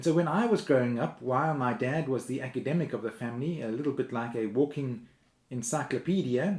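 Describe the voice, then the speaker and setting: A man with a normal speaking voice, medium pitch, ordinary pitch variation and a moderate pace. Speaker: minister. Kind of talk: sermon.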